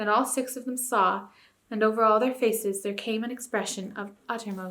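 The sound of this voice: The speaker reads in an unforced reading voice. It stays an unforced reading voice throughout.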